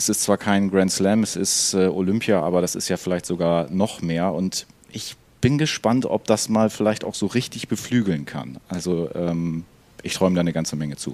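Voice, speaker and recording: Talking at a moderate pace, a man uses a very deep, low pitch with ordinary pitch variation. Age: 30s. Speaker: podcast co-host. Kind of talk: casual chat.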